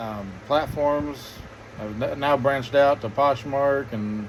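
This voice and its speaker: Noticeable background noise accompanies a man speaking very slowly with fairly even intonation. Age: 30s. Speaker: vlogger. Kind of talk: casual chat. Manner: halting.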